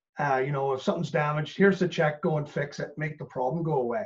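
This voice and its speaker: This man has a plain, everyday voice with a Canadian accent. He speaks at a fairly high pitch with ordinary pitch variation. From Canada. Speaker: business coach. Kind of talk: casual interview chat.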